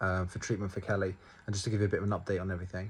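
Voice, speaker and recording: A man with a British accent, somewhat breathy, against a quiet background. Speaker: vlogger sharing family cancer updates. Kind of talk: personal video update. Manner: earnest, passionate; halting, checking notes.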